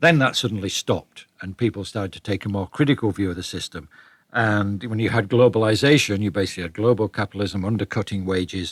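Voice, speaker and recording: A man with a British accent at a fairly low pitch, very fast pace and ordinary pitch variation, on a very clean, dry, close recording with a silent background and no echo. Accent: British, retained despite living in US. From northern England, Leeds. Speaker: author, economics writer. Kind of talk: interview.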